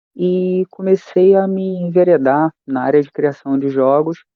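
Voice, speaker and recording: The man's voice shows ordinary pitch variation. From Rio de Janeiro, Brazil. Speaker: history teacher and RPG game designer. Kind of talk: casual interview chat.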